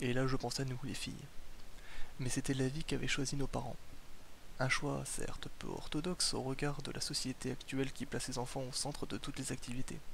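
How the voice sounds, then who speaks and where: Vocal fry marks this man's medium-pitched voice. He goes at a fairly quick pace but leaves long, frequent pauses. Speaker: ASMR reader. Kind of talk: ASMR book reading, bedtime.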